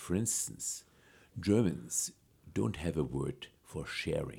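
Vocal fry marks a man's very deep, low voice as his pitch swings very widely. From Germany. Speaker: data scientist and author. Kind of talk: interview.

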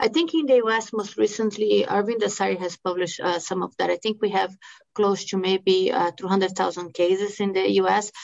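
The speaker has a Brazilian Portuguese accent and ordinary pitch variation. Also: woman, medium pitch for a woman, moderate pace. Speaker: medical oncologist. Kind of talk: expert interview.

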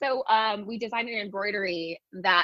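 A plain, everyday voice from a woman with an American accent, fairly even intonation, and a moderate pace. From California. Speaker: wedding dress designer. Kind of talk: casual interview chat.

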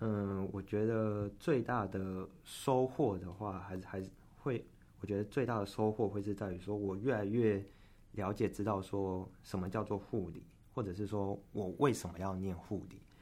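A man speaks at a moderate pace in a dark, mellow tone. His pitch is fairly low and his intonation fairly even. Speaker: nursing student. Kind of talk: interview. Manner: halting, frequent self-repetitions.

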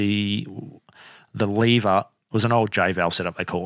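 In an Australian accent, a man with a fairly low pitch, fairly even intonation and a bright, sharp tone talks at a moderate pace in a very clean recording with a silent background and a dry, close sound with no echo. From Australia, Canberra. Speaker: podcast host and spearfisher. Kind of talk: casual interview chat.

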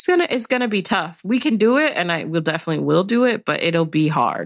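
A woman with an American accent speaks in an unremarkable speaking voice at a moderate pace with ordinary pitch variation, in a very clean recording with a silent background. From Chicago, South Side. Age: 20s. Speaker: policy director. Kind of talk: interview conversation.

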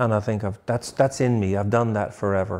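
A man with a Dublin accent and a dark, mellow tone, on a very clean recording with a silent background. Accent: Dublin Irish. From Ireland, Dublin. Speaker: barber and shop owner. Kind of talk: interview.

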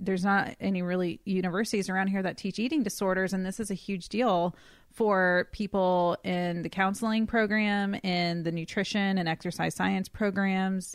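In a very clean recording with a silent background, a woman with an unremarkable speaking voice and an American accent talks at a moderate pace and medium pitch, with fairly even intonation and hardly any pauses. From US South, coastal North Carolina. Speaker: eating disorder dietitian. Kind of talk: casual chat.

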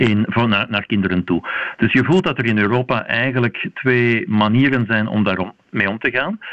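A man talks at a medium pitch in an ordinary speaking voice. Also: ordinary pitch variation, moderate pace. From Belgium. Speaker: vaccination specialist, university professor. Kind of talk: radio interview.

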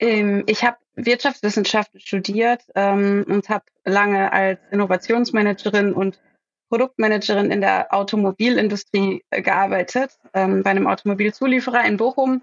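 A woman speaks in a plain, everyday voice at medium pitch and a moderate pace. Her intonation is fairly even and her loudness very even. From Ruhr area, Germany (Herne). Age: 30s. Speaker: startup founder. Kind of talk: podcast interview.

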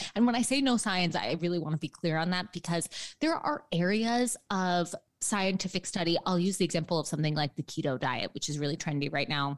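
Speaking with an American accent, a woman uses an ordinary speaking voice at a fairly low pitch. Her intonation is lively and her pace fairly quick. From New York City, lower Manhattan. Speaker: registered dietitian and author. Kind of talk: interview. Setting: remote from home apartment.

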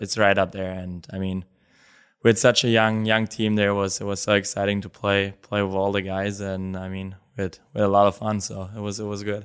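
A man's fairly low voice with a German accent, monotone and flat in intonation, at a moderate pace, on a very clean recording with a silent background. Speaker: professional hockey player. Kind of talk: interview.

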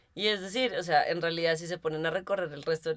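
Talking fairly quickly, a woman with a very deep, low voice uses ordinary pitch variation. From Colombia. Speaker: podcast co-host. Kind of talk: casual chat. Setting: office studio.

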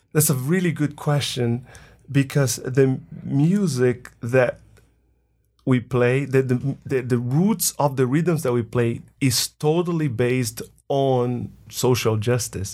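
A man with a Portuguese accent speaks very slowly at medium pitch, with a dark, mellow tone and ordinary pitch variation. His loudness stays very even in a very clean recording with a silent background. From Brazil, Bahia. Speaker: drumming band director, music teacher. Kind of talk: interview.

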